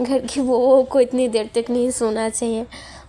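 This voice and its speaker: A woman's high-pitched voice with a Bengali accent, against noticeable background noise. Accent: Bengali-accented Hindi. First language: Bengali (speaking Hindi). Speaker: vlogger, housewife. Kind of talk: casual vlog talk. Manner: chatty, informal.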